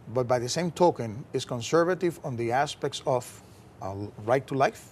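Over light background noise, a man talks at a fairly quick pace with a somewhat breathy, medium-pitched voice and ordinary pitch variation. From Puerto Rico. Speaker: pastor. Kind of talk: interview. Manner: halting, with repeated words. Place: studio. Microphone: lapel.

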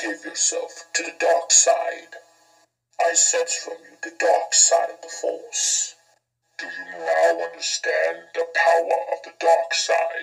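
A man's put-on character voice, high-pitched and fairly slow, with music in the background. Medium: voice reel. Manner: slow, menacing.

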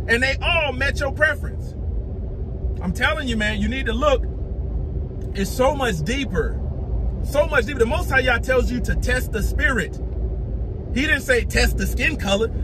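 Noticeable noise fills the background. The man talks at a moderate pace. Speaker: religious video preacher. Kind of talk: angry sermon-style rant, scolding and preaching with heated indignation. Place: car. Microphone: phone near.

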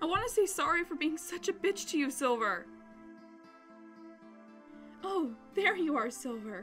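A woman's put-on character voice, high and fairly bright, with big pitch swings and a fairly slow pace over faint background music

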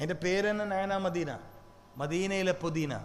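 A man talks at a high pitch. Audible room echo can be heard around his voice. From Kerala, Kannur. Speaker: Islamic preacher. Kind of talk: sermon. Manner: animated.

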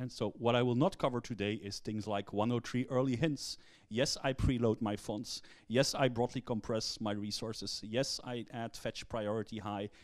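Intonation stays fairly even, and the pace is moderate. Little can be heard behind the voice. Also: man. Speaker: conference speaker. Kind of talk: lecture. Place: hall.

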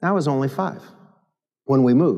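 A man with an American accent, very wide pitch swings, and a quiet background. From Michigan. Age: 50s. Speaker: pastor. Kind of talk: sermon. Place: church.

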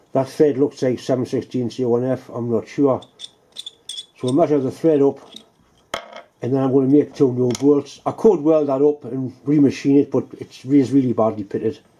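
A man speaks with fairly even intonation. Light background noise is present. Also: moderate pace. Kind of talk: tutorial. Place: workshop. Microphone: camera far.

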